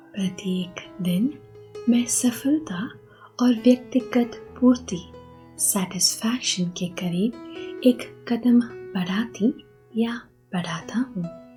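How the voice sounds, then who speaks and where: Music plays in the background while a woman with a fairly high pitch speaks in a calm tone, with ordinary pitch variation and long, frequent pauses. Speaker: hypnotherapist and meditation guide. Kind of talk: guided hypnosis affirmation session. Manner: slow, calm.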